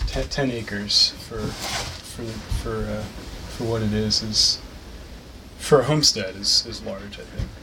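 Noticeable background noise and audible room echo surround a man with an American accent speaking at a fairly slow pace. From US Mid-Atlantic (Delaware/Maryland/Pennsylvania tri-state). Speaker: naturalist and local historian. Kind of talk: casual conversation.

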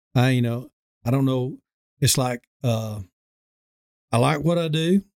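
In a Southern US accent, a man of medium pitch talks at a fairly slow pace with ordinary pitch variation, the sound dry and close with no echo. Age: 50s. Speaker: dentist. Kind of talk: casual chat. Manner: halting.

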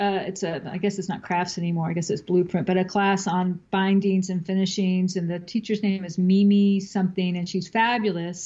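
A woman's somewhat breathy, dark, mellow voice sits at medium pitch, flat and monotone, with hardly any pauses. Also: moderate pace. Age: 50s. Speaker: quilter, novelist and podcaster. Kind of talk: casual interview chat.

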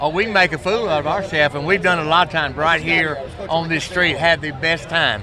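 A man with a Southern US accent, a fairly quick pace, ordinary pitch variation and noticeable background noise. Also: fairly high pitch for a man. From Arkansas. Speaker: barbecue pitmaster. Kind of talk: casual chat.

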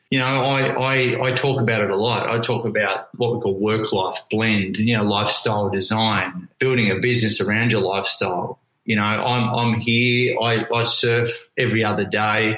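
This man speaks at a moderate pace with an Australian accent and hardly any pauses. His intonation is monotone and flat, and his loudness stays very even. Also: medium pitch for a man. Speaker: motivational coach and business owner. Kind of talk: interview.

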